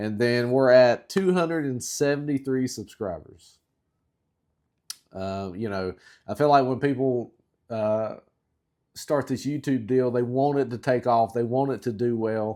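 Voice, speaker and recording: Speaking fairly slowly with long, frequent pauses, a man with a Southern US accent uses a medium-pitched voice of dark, mellow tone and ordinary pitch variation, on a very clean recording with a silent background. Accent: southern drawl. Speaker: outdoor YouTuber. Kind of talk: casual talk to camera. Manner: long pauses; slow, halting.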